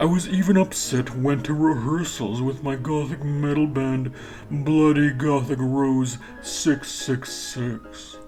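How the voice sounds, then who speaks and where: With clear music in the background, the speaker uses a low-to-middle pitch at a fairly slow pace. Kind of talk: comic mock-earnest reading. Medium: solo performance. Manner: wry, laughing.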